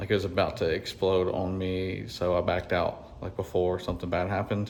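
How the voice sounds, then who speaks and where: A man speaks at a moderate pace in a fairly low pitch. His intonation is monotone and flat. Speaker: HVAC technician. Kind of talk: on-the-job tutorial. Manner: casual, with fillers.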